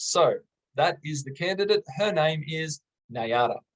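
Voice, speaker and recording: Enthusiastic delivery at a moderate pace, with ordinary pitch variation and a dry, close sound free of echo. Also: man. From Australia. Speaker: English teacher. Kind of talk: tutorial. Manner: moderate exam-style pace.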